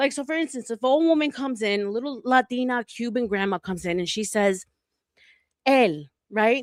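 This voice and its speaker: A woman with a New York accent speaks fairly quickly in a fairly high, animated voice with lively intonation. The sound is dry and close, with no echo. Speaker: panel guest, former beauty retail manager. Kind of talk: casual chat. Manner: direct.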